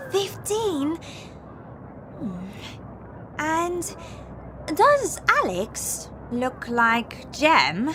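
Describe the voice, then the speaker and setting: A woman's high pitch with very wide swings, at a very slow pace with long, frequent pauses, over noticeable background noise. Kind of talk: scripted English-learning dialogue.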